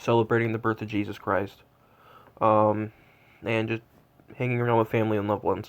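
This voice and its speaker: A man speaks in a monotone, flat intonation at a fairly quick pace. He leaves long, frequent pauses. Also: medium pitch for a man. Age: 20s. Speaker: Santa tracking streamer. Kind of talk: casual live update. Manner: halting.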